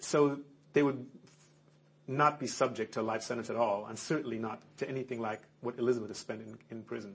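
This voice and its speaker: The pace is fairly quick, with fairly even intonation and vocal fry. Loudness swings a lot. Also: man, medium pitch for a man. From Germany. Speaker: convicted prisoner. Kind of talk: interview. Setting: recorded interview on tape. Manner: halting.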